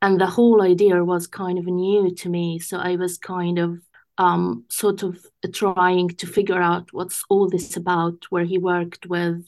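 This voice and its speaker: A woman with an Arabic accent speaks in a fairly low voice at a fairly slow pace. Her intonation is flat and monotone, and the background is quiet. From Gaza, Palestine. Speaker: English teacher. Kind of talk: interview.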